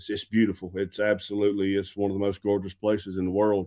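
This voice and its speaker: Speaking at a moderate pace with a South Carolina accent, this voice holds a flat, monotone intonation against a quiet background. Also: man. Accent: Southern US (South Carolina). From US South, upstate South Carolina. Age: 40s. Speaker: missionary. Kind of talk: interview.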